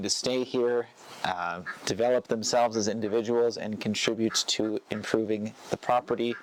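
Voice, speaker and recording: Noticeable background noise sits behind a man with an American accent who speaks at a medium pitch and a moderate pace. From United States. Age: 30s. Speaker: retreat center owner. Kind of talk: interview answer.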